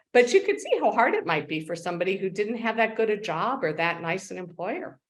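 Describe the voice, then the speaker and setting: In an ordinary speaking voice, a woman talks at a fairly quick pace with lively intonation and a medium pitch. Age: 60s. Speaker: living organ donor. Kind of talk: interview.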